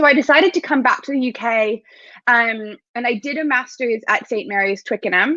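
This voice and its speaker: A woman's high, bright, sharp voice with an American accent, moderate pace and ordinary pitch variation, dry and close with no echo. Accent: American, becoming more British. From United States. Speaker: sport psychologist. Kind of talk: interview.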